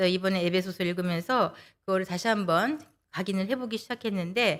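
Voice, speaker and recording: A woman with a plain, everyday voice speaks at medium pitch with lively intonation, on a very clean recording with a silent background. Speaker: lay speaker giving a sermon talk, interpreter by trade. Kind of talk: sermon.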